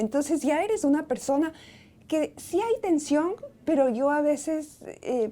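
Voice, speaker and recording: Lively intonation in a woman's high voice. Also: fairly slow pace. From Ecuador, Quito. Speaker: writer and professor. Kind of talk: interview. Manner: hesitant, with fillers.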